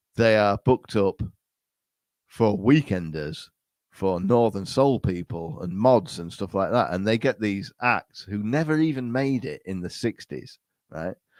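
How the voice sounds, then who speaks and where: In an English accent, a man talks at a fairly slow pace with a fairly low pitch, lively intonation and an animated tone, in a dry, close sound with no echo. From England. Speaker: podcast guest, podcaster. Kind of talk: casual chat. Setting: remote call.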